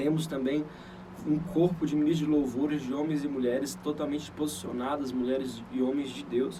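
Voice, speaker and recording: Amid audible room echo, a man with a fairly high pitch speaks at a moderate pace with ordinary pitch variation. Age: 20s. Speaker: church leader, preacher. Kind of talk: sermon on a livestream. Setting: livestream. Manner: hesitant, many fillers and repetitions.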